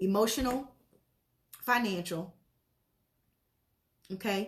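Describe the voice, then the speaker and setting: A woman's voice at a medium pitch. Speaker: motivational speaker. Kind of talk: live stream talk. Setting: Facebook live video. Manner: fast.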